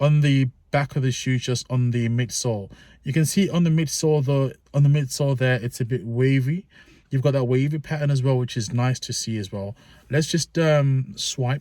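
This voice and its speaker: Somewhat breathy and dark, mellow in tone, a man speaks at a medium pitch. He keeps a moderate pace with ordinary pitch variation. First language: not English. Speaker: sneaker reviewer. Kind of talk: product review. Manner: casual, informal; halting with fillers.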